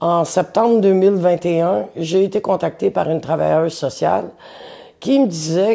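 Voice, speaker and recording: Speaking at a fairly slow pace with a Quebec accent, a woman uses lively intonation, a fairly low pitch and a dark, mellow tone. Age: 60s. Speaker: interviewee telling life story. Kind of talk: personal testimony. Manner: hesitant, with fillers.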